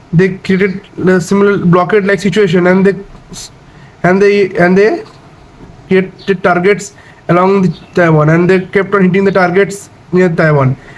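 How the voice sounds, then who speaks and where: Against noticeable background noise, a man with a high-pitched voice speaks at a moderate pace in a monotone, flat intonation, keeping his loudness very even and leaving long, frequent pauses. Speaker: explainer video host. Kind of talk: unscripted educational explainer. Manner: halting, frequent fillers and restarts.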